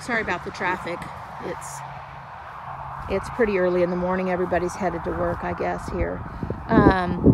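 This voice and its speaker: At a moderate pace with long, frequent pauses, a woman is heard in a dry sound with no echo over loud background noise. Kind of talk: casual garden tour narration. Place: garden. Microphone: phone near.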